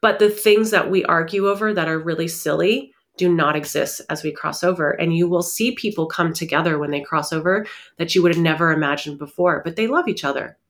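An unremarkable speaking voice at a fairly quick pace, with ordinary pitch variation. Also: woman, fairly low pitch for a woman. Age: 40s. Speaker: spiritual medium. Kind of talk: interview conversation.

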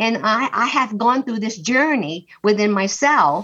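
Her tone comes across bright and sharp. This woman's pitch sits fairly high. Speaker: group participant. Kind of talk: casual group discussion.

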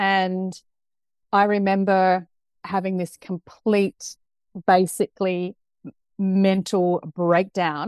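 With a New Zealand accent, a woman speaks at medium pitch in a dry, close sound with no echo. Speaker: culture transformation consultant. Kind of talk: casual interview. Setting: video call. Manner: animated.

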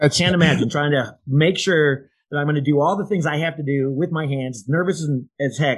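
Fairly high and somewhat breathy, a man's voice moves at a fairly quick pace with fairly even intonation. He speaks with an American accent. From Iowa. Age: 60s. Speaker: podcast co-host, insurance agent. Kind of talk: casual chat.

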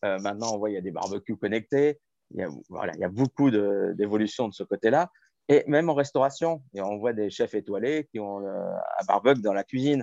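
Against a quiet background, a man speaks at a moderate pace and medium pitch with lively intonation, his dark, mellow tone sounding dry and close with no echo. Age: 40s. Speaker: chef and restaurant owner. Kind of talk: interview.

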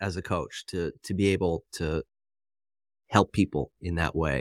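On a very clean recording with a silent background and a dry, close sound with no echo, a man speaks at a fairly slow pace. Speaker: podcast host and health coach. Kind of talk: casual interview chat. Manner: direct, not soft-spoken.

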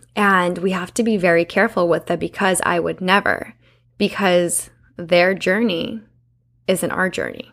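An unremarkable speaking voice from a woman, medium in pitch, with fairly even intonation and a moderate pace, on a very clean recording against a silent background. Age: 20s. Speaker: podcast host. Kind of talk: casual monologue.

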